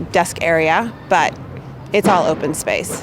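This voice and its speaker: Noticeable background noise sits behind a woman with an American accent. Her pitch is fairly low, with ordinary variation. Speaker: marketing manager. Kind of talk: interview answers. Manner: loud.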